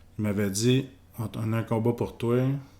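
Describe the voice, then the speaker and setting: Fairly low in pitch, a man speaks with a Quebec accent and fairly even intonation. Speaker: professional boxer. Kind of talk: casual interview.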